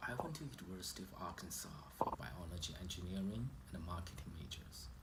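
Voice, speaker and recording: Speaking at a moderate pace with a Chinese accent, a man uses a very deep, low pitch with vocal fry and very wide pitch swings, and audible room echo surrounds him. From China. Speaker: immigrant sharing personal story. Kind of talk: personal testimony. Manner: halting, with fillers.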